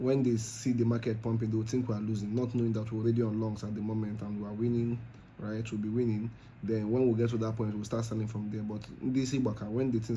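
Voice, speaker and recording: In a Nigerian accent, a somewhat breathy voice rushes along at a very fast pace with monotone, flat intonation and audible room echo. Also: man. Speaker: crypto trading youtuber. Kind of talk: trading tutorial. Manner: casual with fillers.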